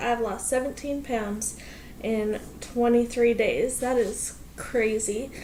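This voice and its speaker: The speech comes at a very slow pace with an American accent. Audible room echo and noticeable background noise fill the recording. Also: woman. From US Pacific Northwest. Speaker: vlogger. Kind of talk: casual vlog. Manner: energetic.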